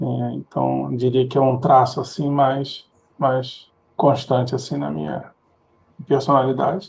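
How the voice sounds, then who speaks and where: He speaks with a Rio de Janeiro accent at a fairly slow pace. This man leaves long, frequent pauses. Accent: carioca. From Rio de Janeiro, Brazil. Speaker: tech professional. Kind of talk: interview. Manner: halting, repeats words.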